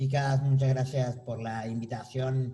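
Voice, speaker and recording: There is audible room echo as a man speaks at a medium pitch in a dark, mellow tone. His voice is somewhat breathy and his intonation monotone and flat. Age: 30s. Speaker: artist. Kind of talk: panel talk.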